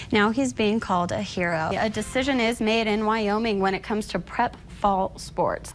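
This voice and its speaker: A woman talks in a normal speaking voice. Her pitch is fairly high and her pace moderate. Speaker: TV news anchor and reporter. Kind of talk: TV news anchor read.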